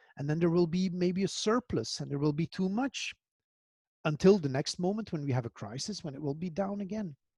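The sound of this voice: Fairly quick and lively in intonation, a man speaks at a fairly high pitch with a slightly mellow tone and a slightly husky edge. The sound is dry and close, with no echo.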